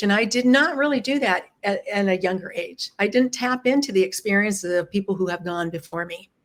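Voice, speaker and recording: In a normal speaking voice, a woman talks at a fairly quick pace and medium pitch, with hardly any pauses. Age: 60s. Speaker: lifestyle business founder. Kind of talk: casual interview. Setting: live stream.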